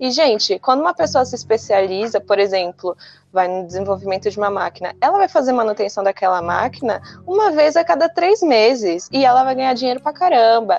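Over background music, a woman speaks with a fairly high pitch and very wide pitch swings, the sound dry and close with no echo. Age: 20s. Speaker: environmental management graduate. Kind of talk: casual chat.

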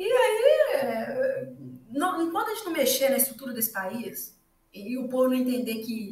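High-pitched and with lively intonation, a woman's voice comes through with audible room echo. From rural Minas Gerais, Brazil. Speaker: economics professor. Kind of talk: casual interview chat. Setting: livestream video recording.

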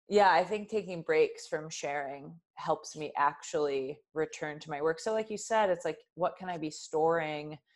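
A woman with an unremarkable speaking voice talks at a moderate pace and fairly low pitch, with ordinary pitch variation and hardly any pauses. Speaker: author. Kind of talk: interview conversation. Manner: casual, relaxed.

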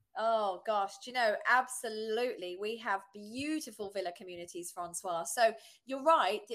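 Speaking at a moderate pace with a British accent, a woman uses fairly high pitch, ordinary pitch variation and big swings in loudness, in a very clean recording with a silent background. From southern England. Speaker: real estate agent. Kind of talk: casual interview chat.

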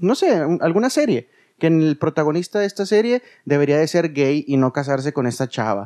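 A man with a Mexican accent speaks at a fairly slow pace in a fairly high pitch, his intonation lively. His tone is dark and mellow, and the sound is dry and close with no echo. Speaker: podcast co-host, former radio host. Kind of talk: casual chat. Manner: animated.

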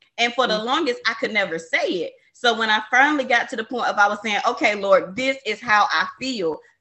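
An ordinary speaking voice from a woman, fairly high in pitch, fairly quick, with lively intonation. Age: 20s. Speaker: podcast host. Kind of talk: casual chat.

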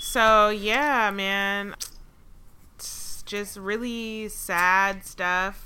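A woman's medium-pitched voice with a bright, sharp tone and an American accent, fairly even intonation, a very slow pace and audible room echo. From Atlanta, US South. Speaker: podcast co-host. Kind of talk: casual chat.

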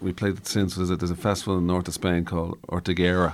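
A man with an Irish accent speaks at a very fast pace in a very deep, low pitch. The recording is very clean, with a silent background. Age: 50s. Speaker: musician. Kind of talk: interview.

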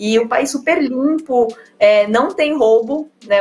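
Lively in intonation, a woman speaks with a high pitch. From São Paulo state, Brazil. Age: 30s. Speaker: olympic table tennis player. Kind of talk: interview conversation.

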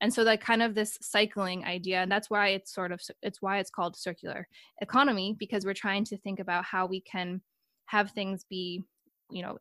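A woman with a General American accent and an unremarkable speaking voice, medium in pitch with fairly even intonation, dry and close with no echo, on a very clean recording with a silent background. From United States. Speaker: PhD researcher, podcast host. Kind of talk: interview conversation.

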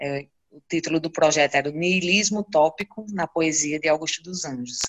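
This is an ordinary speaking voice with ordinary pitch variation. The pace is moderate. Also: woman. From Brazil, Seridó region of Rio Grande do Norte (Currais Novos). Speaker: poet and researcher. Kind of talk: interview.

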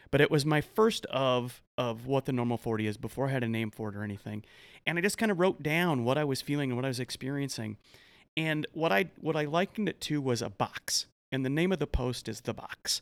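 A man with an American accent has a normal speaking voice at a medium pitch, with lively intonation at a fairly quick pace. The sound is dry and close with no echo, on a very clean recording with a silent background. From US Midwest, farm and ranch family. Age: 40s. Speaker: author and men's life coach. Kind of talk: casual interview.

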